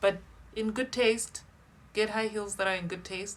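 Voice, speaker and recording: A woman is speaking. There is noticeable background noise. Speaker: style coach. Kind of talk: tutorial. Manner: slow.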